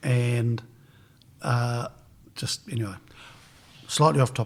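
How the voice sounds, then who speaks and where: A man's somewhat breathy voice at medium pitch and a fairly slow pace. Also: ordinary pitch variation. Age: 60s. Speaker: podcast host. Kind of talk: interview.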